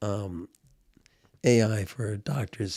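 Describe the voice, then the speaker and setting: A man's fairly low, dark and mellow voice, somewhat breathy, with ordinary pitch variation. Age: 70s. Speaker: precious metals commentator. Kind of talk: casual chat.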